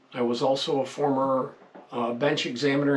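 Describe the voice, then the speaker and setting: A man talks at a moderate pace in a fairly high pitch, his intonation monotone and flat, with noticeable background noise behind him. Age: 70s. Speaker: gun reviewer, retired criminal investigator. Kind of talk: casual video monologue. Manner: hesitant with fillers.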